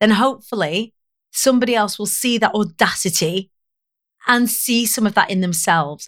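A woman with a Lancashire accent in a very clean recording with a silent background. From northern England, Preston, Lancashire. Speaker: public speaking coach. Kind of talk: casual interview chat.

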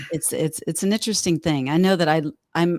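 A woman's very deep, low voice with a slight Texan accent, dry and close with no echo. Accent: Texan twang, slight. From Texas. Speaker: fitness expert. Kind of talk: casual chat. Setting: video call. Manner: animated, cheerful.

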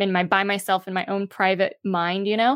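Monotone, flat intonation comes through in a very clean, dry, close recording with a silent background and no echo. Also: woman. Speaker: author. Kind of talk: interview. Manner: fluent.

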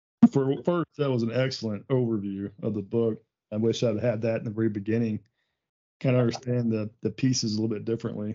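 At a very fast pace, a man with an American accent talks at medium pitch with fairly even intonation. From Texas. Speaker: podcast host. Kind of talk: casual interview.

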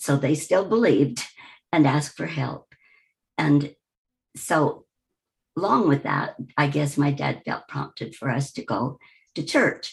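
A woman with an American accent speaks at a fairly slow pace in a very deep, low pitch, with vocal fry and lively intonation. She leaves long, frequent pauses. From US Midwest, Wichita, Kansas. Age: 80s+. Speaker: retired woman sharing life story. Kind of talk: personal life-story interview.

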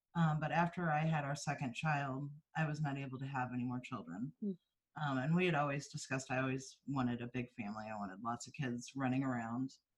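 In an American accent, the speaker talks at a fairly quick pace with hardly any pauses and ordinary pitch variation. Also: woman, very deep, low pitch for a woman. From US Midwest, East Central Missouri. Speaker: foster and adoptive parent. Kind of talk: casual interview chat.

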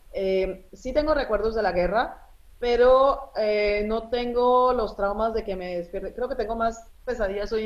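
A woman with a normal speaking voice talks at a fairly high pitch. Her pace is fairly slow, with ordinary pitch variation. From Colombia (from age 10), born in Lebanon. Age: 40s. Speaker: journalist. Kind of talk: interview.

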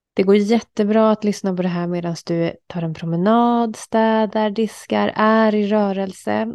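Recorded dry and close with no echo against a quiet background, a woman of medium pitch has a plain, everyday voice with fairly even intonation. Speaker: podcast host. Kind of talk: guided meditation affirmations. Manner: calm, slow, soothing; repetitive, gentle, reassuring.

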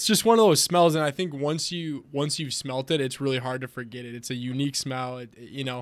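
A man with an American accent talks at a fairly quick pace in a plain, everyday voice, his pitch fairly high with ordinary variation and hardly any pauses. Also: big swings in loudness. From Wisconsin. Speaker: printing company sales and marketing director. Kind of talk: casual interview chat.

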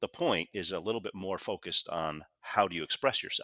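Very clean audio of a male speaker, the background completely silent. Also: dry, close sound with no echo. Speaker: author and communication consultant. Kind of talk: interview.

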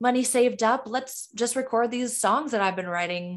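With an American accent, a woman in a fairly high voice speaks in a normal speaking voice with ordinary pitch variation, in a very clean recording with a silent background. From Michigan. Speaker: singer-songwriter. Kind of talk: interview.

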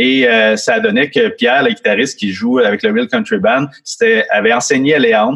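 At a moderate pace, this voice keeps its loudness very even while its pitch swings very widely. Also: man, fairly high pitch for a man. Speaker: guitarist and music school owner. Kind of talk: interview.

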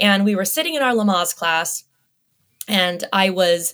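In an American accent, a woman speaks at a medium pitch with ordinary pitch variation, an ordinary speaking voice. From US, Las Vegas. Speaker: lactation consultant. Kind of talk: interview.

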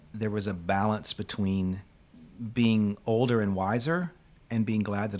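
A man talks in an unremarkable speaking voice. His pitch is fairly low and his intonation fairly even. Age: 50s. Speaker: singer-songwriter and podcast host. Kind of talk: casual chat with reflective narration.

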